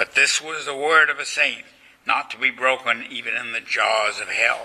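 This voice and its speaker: Moderately paced speech from a man amid noticeable background noise. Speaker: lecturer and author. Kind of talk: lecture delivered to a live audience, reverent history narration. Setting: college lecture hall. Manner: solemn, formal, measured storytelling with devout gravity.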